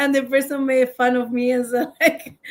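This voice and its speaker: A high-pitched woman with a non-native accent at a moderate pace. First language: not English. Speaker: podcast co-host. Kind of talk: casual chat.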